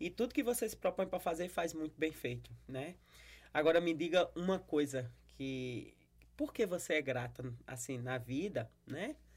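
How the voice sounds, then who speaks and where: A woman's very deep, low voice with lively intonation at a fairly slow pace, in a very clean recording with a silent background. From Brazil, Paraíba (Campina Grande). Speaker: pastor and podcast host. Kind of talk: casual interview.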